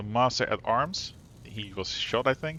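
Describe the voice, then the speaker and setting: The speaker is a man with a non-native accent. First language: not English. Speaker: video game streamer. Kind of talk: reading game text aloud. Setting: live stream. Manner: halting, stumbles over words.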